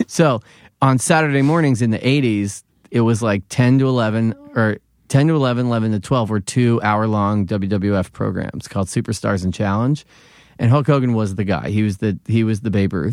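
A man with an American accent speaks at a medium pitch and a fairly quick pace. His pitch varies in an ordinary way. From Philadelphia. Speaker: comedian and TV writer, wrestling pundit. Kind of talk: casual podcast interview.

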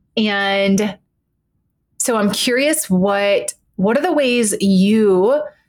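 Her pitch medium and its variation ordinary, a woman speaks in a normal speaking voice. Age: 40s. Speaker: therapist and podcast host. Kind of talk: casual chat.

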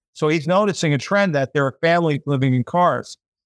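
In a very clean recording with a silent background and a dry, close sound with no echo, a man with an American accent speaks fairly quickly in an unremarkable speaking voice, fairly high in pitch with ordinary pitch variation. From United States. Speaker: podcast host. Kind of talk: casual chat.

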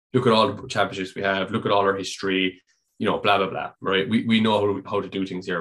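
Very fast, monotone speech from a man with a fairly low pitch and a Dublin accent, over a quiet background. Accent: Irish (Dublin). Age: 30s. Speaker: amateur American football quarterback. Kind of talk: casual interview. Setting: call.

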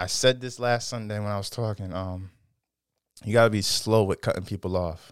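Speaking fairly quickly with an American accent, a man uses a normal speaking voice at a fairly low pitch on a very clean recording with a silent background. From Norwich, Connecticut. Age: 20s. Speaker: podcast guest, small business owner. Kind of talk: casual chat.

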